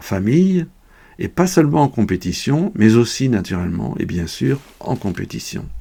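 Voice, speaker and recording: Speaking fairly slowly, a man with a medium-pitched voice makes very wide pitch swings. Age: 70s. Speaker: sport shooter, retired English teacher. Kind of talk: scripted explanation. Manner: formal.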